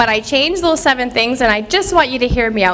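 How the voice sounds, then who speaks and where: A woman with a Canadian accent and a high pitch speaks loudly in an animated tone with lively intonation over noticeable background noise. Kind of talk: inspirational speech. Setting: stage with audience.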